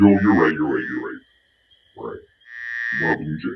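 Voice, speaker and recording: The speaker uses a put-on character voice. The pace is fairly quick. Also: man. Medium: comedy sketch. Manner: brash, cocky.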